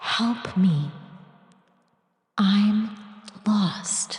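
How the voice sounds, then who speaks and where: A quiet, female-sounding put-on character voice sits at a medium pitch. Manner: whispering, pleading.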